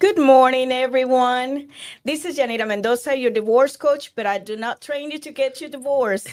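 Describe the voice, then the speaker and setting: Woman with a Spanish accent and high pitch, ordinary pitch variation, moderate pace, on a very clean recording with a silent background. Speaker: divorce coach. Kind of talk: podcast interview. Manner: halting.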